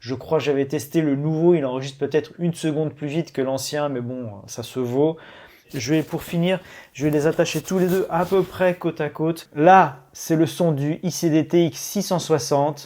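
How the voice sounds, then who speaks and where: On a very clean recording with a silent background, a man talks at a moderate pace in a dark, mellow tone with fairly even intonation. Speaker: tech reviewer youtuber. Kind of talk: product review tutorial. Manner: casual, many hesitations.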